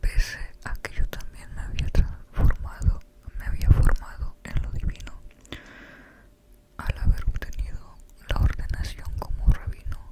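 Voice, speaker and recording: Someone whispers at a fairly slow pace with long, frequent pauses amid noticeable background noise. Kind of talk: book reading. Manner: whispered.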